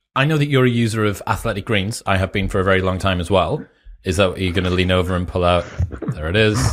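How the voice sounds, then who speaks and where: Over noticeable background noise, a man talks at a very fast pace with a very deep, low pitch. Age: 30s. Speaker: podcast host. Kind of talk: casual interview chat.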